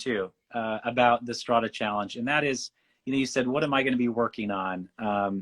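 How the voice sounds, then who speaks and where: Someone with a Western US accent is heard in a dry, close sound with no echo and a quiet background. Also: man. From Western United States. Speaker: painter. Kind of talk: interview.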